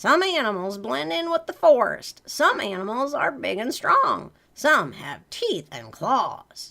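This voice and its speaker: A put-on character voice, female-sounding, raised and projected, high-pitched and fairly slow. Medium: read story. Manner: gentle.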